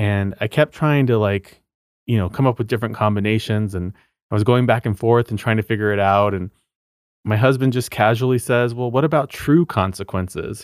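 An unremarkable speaking voice belongs to this man with an American accent, medium pitch and ordinary pitch variation, who talks at a fairly quick pace in a dry, close sound with no echo on a very clean recording with a silent background. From New Mexico, US Southwest. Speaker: true crime podcaster. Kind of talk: interview conversation.

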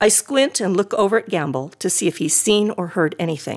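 A reader speaks in an unforced reading voice.

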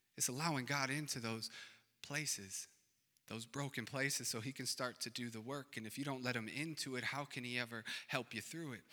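A man with an American accent talks at a fairly quick pace. His tone is animated, bright and sharp. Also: medium pitch for a man. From Racine, Wisconsin, US. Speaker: pastor. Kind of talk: sermon, conversational pastoral preaching with call-and-response asides. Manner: coaxing congregation for amens, rhetorical questions; casual, animated and encouraging, punchy short exhortations.

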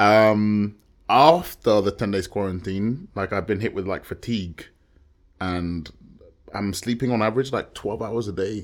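On a very clean recording with a silent background, a man with a southern English accent and fairly low pitch speaks at a fairly slow pace with ordinary pitch variation. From London outskirts, England. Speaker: musician and videographer. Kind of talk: casual chat.

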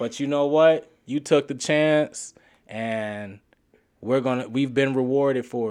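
A man with a plain, everyday voice and medium pitch talks at a fairly slow pace with ordinary pitch variation and big swings in loudness against a quiet background. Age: 30s. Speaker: podcast co-host, journalist. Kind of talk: casual chat.

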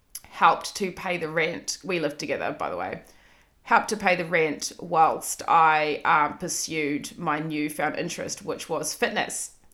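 A woman with a slight New Zealand accent speaks in a bright, sharp tone with a fairly low pitch. Her intonation is fairly even and her pace fairly slow. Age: 30s. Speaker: podcast host. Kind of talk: solo monologue, casual personal storytelling. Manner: casual, self-deprecating, swearing.

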